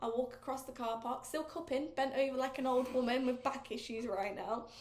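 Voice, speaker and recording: A woman speaks at a moderate pace with an English accent. Her voice is high-pitched, and the room echo is audible. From England. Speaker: podcast host. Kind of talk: casual chat. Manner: animated.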